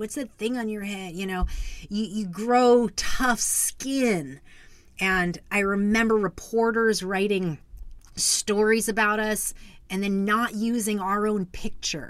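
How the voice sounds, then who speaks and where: A woman's fairly high voice at a fairly slow pace, with ordinary pitch variation. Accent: American. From US Southwest, Arizona. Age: 40s. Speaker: podcast host. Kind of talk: personal storytelling. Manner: hesitant with fillers.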